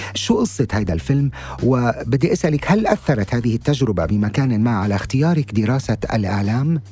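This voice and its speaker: With noticeable background noise behind him, a man of medium pitch speaks in very wide pitch swings. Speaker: podcast host. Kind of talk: interview. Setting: studio. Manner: formal.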